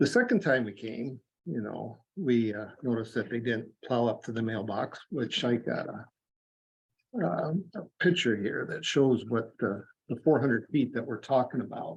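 The voice is somewhat breathy, in a Midwestern US accent. Its pace is moderate, with ordinary pitch variation. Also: man, medium pitch for a man. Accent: US Midwest. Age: 60s. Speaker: farmer. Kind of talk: public comment at county meeting. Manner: halting.

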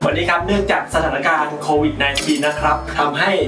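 A man speaks with ordinary pitch variation and audible room echo. Clear music plays in the background. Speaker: cooking show host. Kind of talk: comedic cooking show chat. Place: kitchen.

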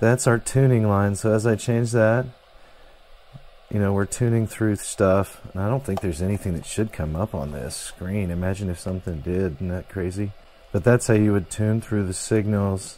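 A man with a fairly low pitch shows ordinary pitch variation and holds a moderate pace. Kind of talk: tutorial. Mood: excited, enthusiastic. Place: workshop.

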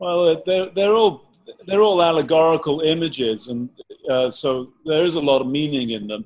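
In an English accent, a man speaks at a fairly high pitch with lively intonation. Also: moderate pace. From England, countryside. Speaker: painter. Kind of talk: interview. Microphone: video call.

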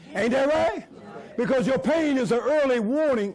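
Here a man talks in an extremely high pitch. His tone is animated and his intonation lively. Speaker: preacher. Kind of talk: sermon. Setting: church with congregation. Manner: animated call-and-response preaching, urging the congregation to repeat lines. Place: church.

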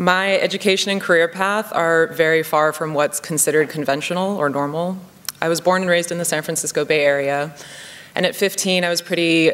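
This woman has an ordinary speaking voice, fairly low in pitch with fairly even intonation. She talks at a fairly quick pace. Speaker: conference speaker. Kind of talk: keynote speech. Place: hall. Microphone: podium.

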